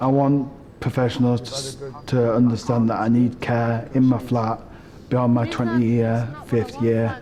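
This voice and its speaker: In a Northumbrian accent, a man speaks at a moderate pace and medium pitch. His intonation is monotone and flat, with audible room echo. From northern England, Northumberland. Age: 20s. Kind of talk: documentary narration.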